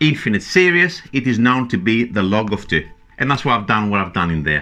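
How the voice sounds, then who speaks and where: Speaking at a moderate pace with a non-native accent, a man of medium pitch makes very wide pitch swings. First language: not English. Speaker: maths teacher. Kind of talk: tutorial. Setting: at a whiteboard.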